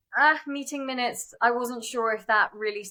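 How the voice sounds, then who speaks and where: Dry and close with no echo, a woman's bright, sharp voice in a British accent runs at a fairly quick pace, fairly high in pitch with ordinary pitch variation. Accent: non-American, British. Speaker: startup founder and CEO. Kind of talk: interview conversation. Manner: fast, many fillers.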